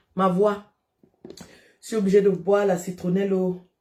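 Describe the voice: A woman with a dark, mellow tone, recorded with audible room echo.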